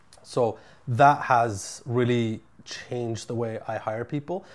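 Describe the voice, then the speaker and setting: A man speaks in a normal speaking voice with a Canadian accent. His pitch is medium, with ordinary pitch variation. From Ottawa, Canada. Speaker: entrepreneur, construction company CEO. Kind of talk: interview.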